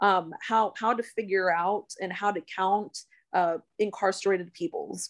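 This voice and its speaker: A woman with a normal speaking voice and an American accent talks fairly slowly at a medium pitch, with fairly even intonation. The sound is dry and close with no echo, on a very clean recording with a silent background. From Central Texas (East Austin area). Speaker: congressional candidate. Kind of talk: interview.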